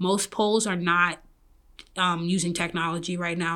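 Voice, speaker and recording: A woman with a New York accent speaks at a fairly slow pace. Her tone is bright and sharp. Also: very clean recording, silent background. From Brooklyn, New York. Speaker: app founder. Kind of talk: interview.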